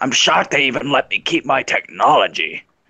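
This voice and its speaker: Raspy and fairly quick, a man performs a put-on character voice. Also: fairly high pitch for a man. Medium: game stream. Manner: brash, cocky.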